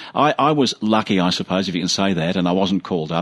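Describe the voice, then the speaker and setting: Delivered at a very fast pace with an Australian accent, the voice shows ordinary pitch variation. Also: man. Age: 70s. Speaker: radio host. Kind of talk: radio interview.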